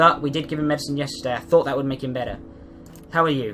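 Music plays in the background as a man talks with a British accent. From Britain. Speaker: gamer. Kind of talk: casual gameplay commentary.

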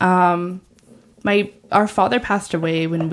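A woman talks in a normal speaking voice. It has a fairly low pitch and ordinary pitch variation. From US, Mexican-American family. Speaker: artist and bisexual activist, abortion worker. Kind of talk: casual chat.

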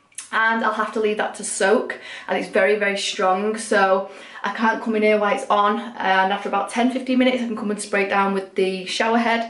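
Amid audible room echo, a woman talks at a fairly quick pace with monotone, flat intonation. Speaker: home vlogger. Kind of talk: casual vlog chat. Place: bathroom. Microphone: phone near.

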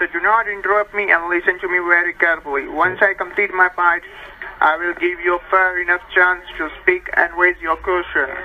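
Light background noise behind a man with an American accent, high-pitched, fairly quick and monotone, with flat intonation. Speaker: phone caller claiming to be a tax agent. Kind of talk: scripted phone call speech. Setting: phone. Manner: scripted, formal delivery. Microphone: phone line.

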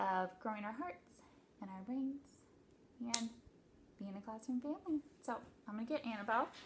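The speaker is reading aloud. It is in a natural voice.

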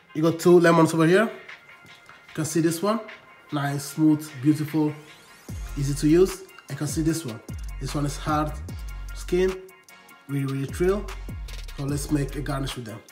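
Faint music plays in the background as a man speaks at a moderate pace. He leaves long, frequent pauses. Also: ordinary pitch variation. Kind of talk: tutorial. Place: kitchen.

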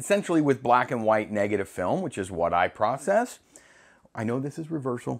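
Intonation is lively as a man talks at a fairly quick pace. His loudness swings a lot. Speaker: film hobbyist host. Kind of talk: casual vlog chat. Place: home room. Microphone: lapel.

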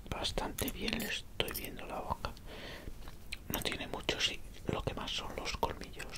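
A soft-spoken man at a fairly slow pace over loud background noise. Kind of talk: ASMR role-play. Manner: soft close ASMR murmur. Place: home room. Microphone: headset.

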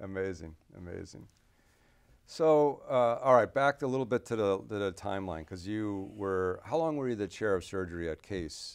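Against a quiet background, a man with a fairly low voice talks at a moderate pace with lively intonation. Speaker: surgeon and interviewer; interviewer. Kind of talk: interview. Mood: warm, admiring. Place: office.

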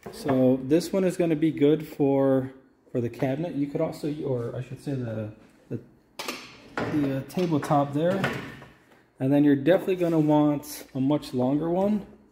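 Noticeable background noise sits behind a man speaking at a moderate pace. His pitch varies in an ordinary way, with long, frequent pauses. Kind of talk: casual vlog chat. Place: garage. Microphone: phone near.

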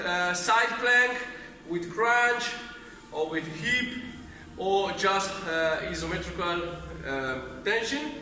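Lively intonation marks this raised, projected voice, heard with audible room echo and light background noise. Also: man. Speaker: fitness instructor. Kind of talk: tutorial. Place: gym. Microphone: camera far.

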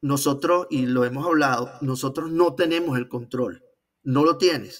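The speaker has a Venezuelan accent and ordinary pitch variation, over a quiet background. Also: man. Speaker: civil engineer and trader; interview guest. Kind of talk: interview. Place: home room.

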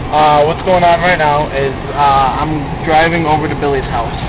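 Noticeable background noise sits behind a man whose voice has a dry sound with no echo. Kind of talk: casual vlog chat. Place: car. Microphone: phone near.

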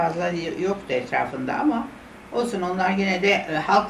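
A woman speaks at a moderate pace with a fairly low pitch and ordinary pitch variation. Audible room echo and light background noise are present. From Istanbul, Turkey. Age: 80s+. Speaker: interviewee recalling memories. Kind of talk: interview answer, personal memories. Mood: wistful, regretful reminiscence. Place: home room.

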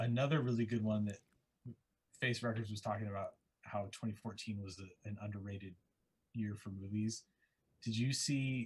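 A man speaks at a moderate pace in a fairly low, somewhat breathy voice with fairly even intonation. His pauses are long and frequent. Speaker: comic artist. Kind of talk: casual chat. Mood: relaxed, friendly. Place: home room. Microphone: video call.

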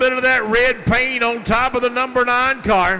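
A man speaks in a raised, projected voice. Light background noise can be heard. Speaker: race track announcer. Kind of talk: commentary. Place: stadium.

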